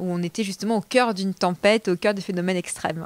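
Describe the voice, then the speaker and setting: A woman with a slight southern French accent speaks very fast at a medium pitch, her intonation monotone and flat, in a dry, close sound with no echo. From southern France, Toulouse. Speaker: TV weather presenter and author. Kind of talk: interview at a bookshop event.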